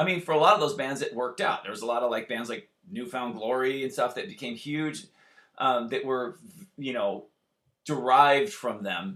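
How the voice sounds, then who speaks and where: A man with a Californian accent speaks at a moderate pace and a medium pitch. His tone is animated, bright and sharp. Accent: Californian American. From US West Coast, Santa Barbara, California. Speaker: punk rock musician. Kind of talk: casual chat. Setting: video call.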